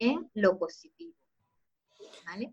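Her words move at a moderate pace. The woman's pitch rises and falls in an ordinary way. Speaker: image consultant and YouTuber. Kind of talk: interview. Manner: calm.

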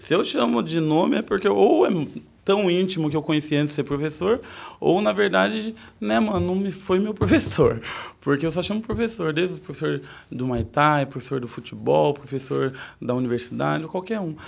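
The man's pitch is fairly high and swings very widely. His pace is moderate. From Sorocaba, São Paulo state, Brazil. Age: 40s. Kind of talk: casual interview chat.

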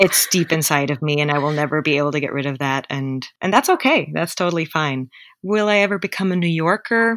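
Speaking at a fairly quick pace, a woman uses lively intonation in a very deep, low pitch. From Germany, near Munich. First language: German. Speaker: interview guest, immigrant. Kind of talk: interview conversation. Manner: halting, frequent fillers.

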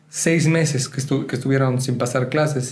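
The speech comes at a fairly quick pace with fairly even intonation, against noticeable background noise and audible room echo. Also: man. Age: 20s. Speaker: photographer and podcast co-host. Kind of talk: casual chat.

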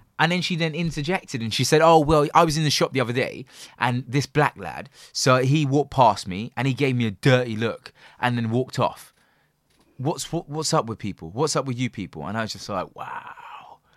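Recorded with a dry, close sound and no echo, a man in a London accent talks at a fairly quick pace and a medium pitch. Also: ordinary pitch variation. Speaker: podcast host. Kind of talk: casual chat. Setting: video call.

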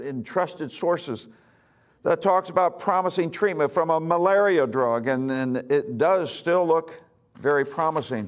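Recorded very cleanly against a silent background, a man talks at a moderate pace with a fairly high pitch and ordinary pitch variation. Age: 60s. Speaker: pastor. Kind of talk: sermon.

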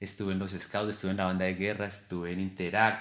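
A fairly low male voice at a fairly quick pace. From Colombia, Boyacá (Tunja). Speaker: amateur marathon runner. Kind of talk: casual interview.

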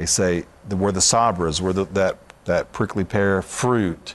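With a Southern US accent, the speech runs at a fairly slow pace. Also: man. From Alabama. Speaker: Messianic minister. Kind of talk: interview.

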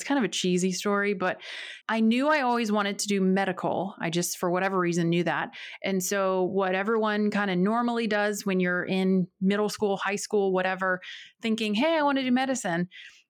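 In an American accent, a woman talks at a fairly quick pace and medium pitch, with an unremarkable speaking voice. Her pitch varies in an ordinary way, her loudness stays very even, and the recording is very clean with a silent background. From North Carolina, rural area near Winston-Salem. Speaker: physical therapist and podcast host. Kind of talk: casual interview chat.

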